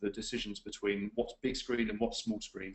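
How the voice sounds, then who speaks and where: The speaker is a man. He has an English accent. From England. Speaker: webinar presenter, client services executive. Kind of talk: webinar presentation. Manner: frequent fillers, hesitant.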